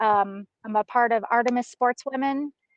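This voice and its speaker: A woman is speaking. She has a Southern US accent. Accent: Southern drawl. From Texas. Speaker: hunting guide. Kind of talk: casual interview chat. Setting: video call from a mountaintop.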